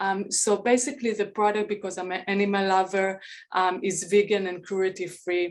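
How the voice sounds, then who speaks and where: Monotone and flat in intonation, the speech carries a non-native accent at a moderate pace. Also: woman, medium pitch for a woman. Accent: foreign. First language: not English. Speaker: beauty brand founder. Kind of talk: pitch presentation.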